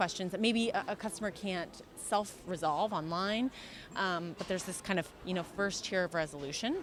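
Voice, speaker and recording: The speaker has an American accent with ordinary pitch variation. Music plays in the background. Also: woman. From USA. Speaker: customer experience consultant. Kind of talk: interview answer.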